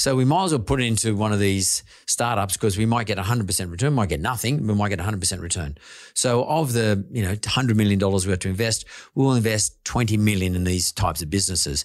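Over a quiet background, a man with an Australian accent speaks very fast in a fairly low pitch with ordinary pitch variation. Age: 60s. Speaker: podcast host and investor. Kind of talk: casual interview.

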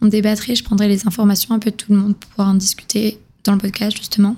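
Somewhat breathy and dark, mellow in tone, a woman talks at a very fast pace. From southern France. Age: 20s. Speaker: podcast host. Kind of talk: solo podcast introduction. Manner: casual, conversational.

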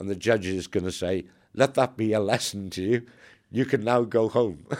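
A man with a Welsh accent speaks at a moderate pace, his pitch fairly low with ordinary variation. The recording is very clean, with a silent background. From Wales. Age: 60s. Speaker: former army undercover agent. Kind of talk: interview storytelling.

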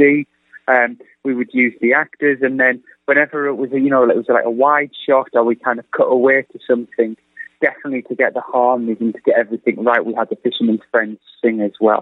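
With an English accent, a man with fairly high pitch talks at a fairly quick pace. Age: 30s. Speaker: film director. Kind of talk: radio interview.

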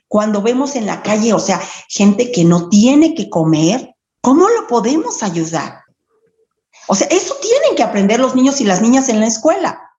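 A woman's fairly high voice makes very wide pitch swings at a moderate pace. Audible room echo surrounds her. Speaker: primary school teacher. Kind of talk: interview. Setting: phone call. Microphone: phone mic, computer audio broken.

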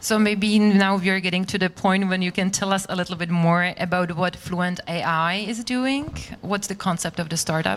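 A woman in a Czech accent at medium pitch and a moderate pace, with fairly even intonation and hardly any pauses. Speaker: interviewer. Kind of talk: live interview.

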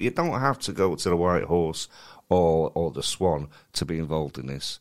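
A man at a moderate pace, very clean recording, silent background. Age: middle-aged. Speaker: comedy promoter and podcast co-host. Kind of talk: casual chat.

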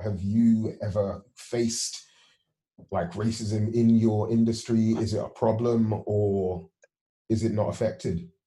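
Somewhat breathy and fairly low, a man's dark, mellow voice moves at a fairly slow pace. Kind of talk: casual interview chat. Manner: friendly, informal, upbeat.

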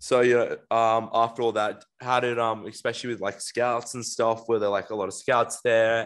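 A man speaks in a normal speaking voice at medium pitch. His pace is moderate, and the background is quiet. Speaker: podcast host. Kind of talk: casual chat. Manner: casual, slangy.

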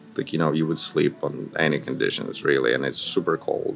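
A man with a very deep, low pitch talks over noticeable background noise. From Ukraine, Kyiv. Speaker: MBA student and amateur comedian. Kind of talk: interview.

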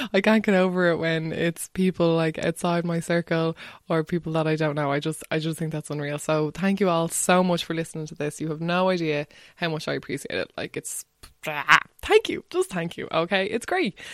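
A woman's fairly quick, fairly low-pitched voice with fairly even intonation, in a dry, close sound with no echo and a very clean recording with a silent background. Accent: Irish. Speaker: podcast host. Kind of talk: casual interview chat.

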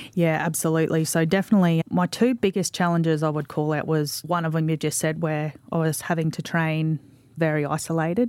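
A woman with an Australian accent, her pitch very deep and low, her pace fairly quick, her intonation fairly even. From Australia, Mackay, Queensland. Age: 40s. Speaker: sports administrator and former rugby league player. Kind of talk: casual interview.

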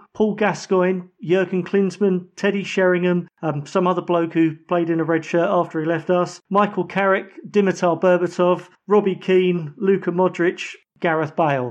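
A man with a high-pitched voice and an English accent talks against a quiet background. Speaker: football podcast panelist. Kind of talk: casual chat.

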